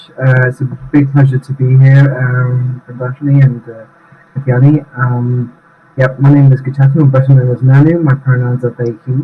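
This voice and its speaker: A man with a British accent talks at a moderate pace in a medium pitch with monotone, flat intonation. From UK. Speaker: UN staff association president. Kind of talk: interview conversation. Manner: halting, many fillers.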